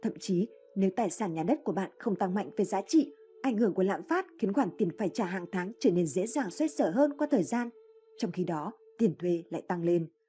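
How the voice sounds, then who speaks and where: Somewhat breathy and dark, mellow in tone, a woman's medium-pitched voice moves at a moderate pace with very wide pitch swings. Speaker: audiobook narrator. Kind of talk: reading aloud.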